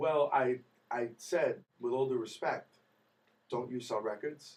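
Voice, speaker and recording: A man speaks at a very slow pace in a medium pitch. He has an American accent. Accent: New York accent, stronger when nervous. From New York. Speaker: singer, talent show contestant. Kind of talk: interview. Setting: radio studio. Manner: animated.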